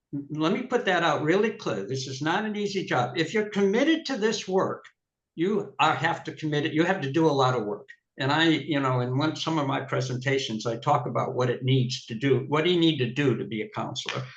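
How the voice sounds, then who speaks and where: A man speaks fairly quickly with lively intonation, his voice somewhat breathy and fairly high in pitch. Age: 70s. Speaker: city council candidate. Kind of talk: political debate. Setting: video call.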